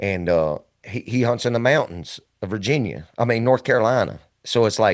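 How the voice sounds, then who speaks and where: Over a quiet background, a man speaks in an ordinary speaking voice at medium pitch, moderate in pace, with ordinary pitch variation. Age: 50s. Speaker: podcast host and hunter. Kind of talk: casual chat.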